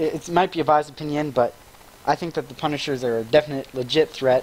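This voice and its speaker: Over noticeable background noise, a man talks at a fairly quick pace. His pitch is fairly high, with fairly even intonation. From Canada.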